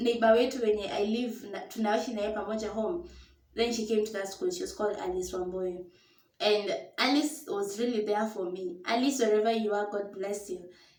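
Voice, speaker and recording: In a room with audible echo, a woman speaks at a moderate pace with a fairly high pitch. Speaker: storyteller vlogger. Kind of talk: personal storytelling. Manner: casual, code-switching English and Swahili.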